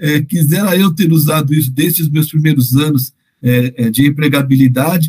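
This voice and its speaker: A man talks at a moderate pace in a fairly high pitch, somewhat breathy. His intonation stays fairly even and his loudness very even. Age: 50s. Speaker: podcast host on parenting education. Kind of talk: interview. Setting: podcast. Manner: hesitant, repeats words.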